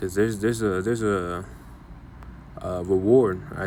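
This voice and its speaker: Fairly low-pitched man's voice, fairly even intonation, and audible room echo. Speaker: bible teacher. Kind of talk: bible lesson. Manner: halting.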